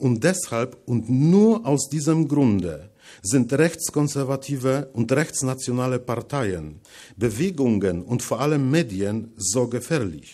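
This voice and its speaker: A man speaks very slowly in a Polish accent. His dark, mellow tone carries lively intonation. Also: quiet background. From Poland, Masuria/Warmia; Poland. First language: Polish (speaking German). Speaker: writer; guest lecturer. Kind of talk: lecture. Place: hall. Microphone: podium.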